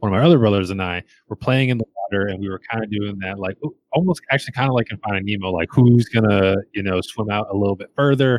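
His pitch is fairly low. The man talks at a very fast pace. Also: ordinary pitch variation. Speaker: podcast co-host. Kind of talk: casual chat. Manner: joking, animated.

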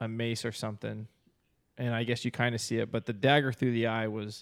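A man at a medium pitch with an unremarkable speaking voice, in a very clean recording over a silent background. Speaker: podcast co-host. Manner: casual, says dude often.

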